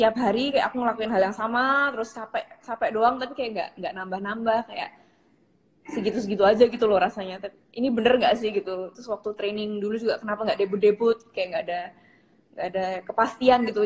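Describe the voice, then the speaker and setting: A woman talks at a very fast pace in a fairly high pitch, with big swings in loudness and ordinary pitch variation. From Yogyakarta, Java, Indonesia. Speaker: K-pop idol. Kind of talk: interview answer. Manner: casual, chatty.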